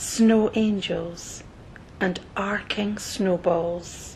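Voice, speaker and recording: Somewhat breathy and calm in tone, a woman speaks at a medium pitch with monotone, flat intonation. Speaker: meditation guide. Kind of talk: guided meditation. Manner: calm, slow.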